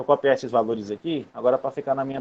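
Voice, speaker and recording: Talking at a very fast pace, a man holds a medium pitch. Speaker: university lecturer. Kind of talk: online lecture. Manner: casual.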